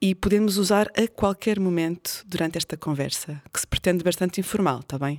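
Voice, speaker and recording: A woman with a European Portuguese accent speaks at a moderate pace and a medium pitch, her intonation lively. The sound is dry and close with no echo, and the recording is very clean with a silent background. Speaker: podcast host. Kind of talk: casual interview.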